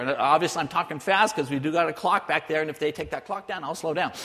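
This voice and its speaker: A voice with an American accent over noticeable background noise. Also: man. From southern California, near Mexican border. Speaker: missionary. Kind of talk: sermon.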